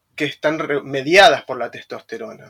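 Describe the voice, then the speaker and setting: A man's voice with a bright, sharp tone comes through a dry, close sound with no echo. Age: 30s. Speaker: personal trainer. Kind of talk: interview. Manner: halting.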